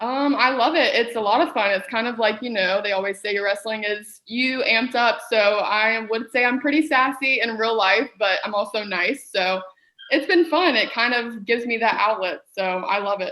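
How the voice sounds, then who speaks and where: A woman's fairly high voice in a Southern US accent, ordinary pitch variation, a moderate pace and hardly any pauses. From US South. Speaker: professional wrestler. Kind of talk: casual interview.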